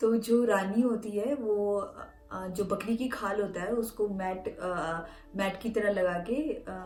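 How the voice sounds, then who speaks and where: With fairly even intonation and a medium pitch, a woman talks as music plays in the background. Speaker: folk tale narrator and translator. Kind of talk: retelling a folk tale in Hindi.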